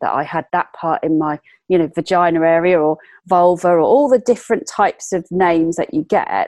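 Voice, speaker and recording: The woman's voice sits fairly low, with a dark, mellow tone and ordinary pitch variation. The sound is dry and close with no echo, against a quiet background. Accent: English. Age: 40s. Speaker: entrepreneur and fashion lecturer. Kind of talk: interview.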